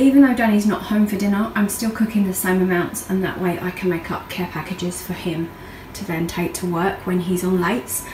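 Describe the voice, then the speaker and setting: Speech at a fairly quick pace with ordinary pitch variation, light background noise and audible room echo. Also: woman. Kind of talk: casual vlog chat. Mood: relaxed, chatty. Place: kitchen. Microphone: phone near.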